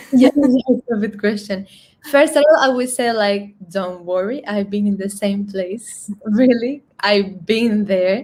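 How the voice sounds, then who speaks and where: A woman with a Spanish accent speaks fairly slowly in a medium-pitched, somewhat breathy voice with ordinary pitch variation. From Colombia, San Andres island. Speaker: singer. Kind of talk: interview. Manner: halting.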